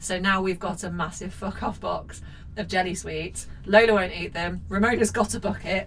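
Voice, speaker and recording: A woman keeps a moderate pace as noticeable noise runs through the background. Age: 30s. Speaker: podcast host. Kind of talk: casual chat.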